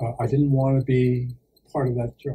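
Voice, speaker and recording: A man talks at a fairly quick pace in a dark, mellow tone that is somewhat breathy. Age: 60s. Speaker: actor and priest. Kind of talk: interview. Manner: hesitant, many fillers.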